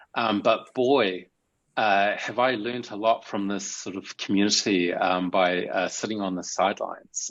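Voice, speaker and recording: The speaker has a New Zealand accent. The pace is fairly slow. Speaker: meetup attendee, developer; presenter. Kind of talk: casual introduction. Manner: halting, many fillers. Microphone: video call.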